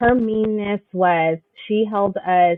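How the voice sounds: At a slow pace, a woman talks with a medium pitch. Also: ordinary pitch variation, dry, close sound with no echo.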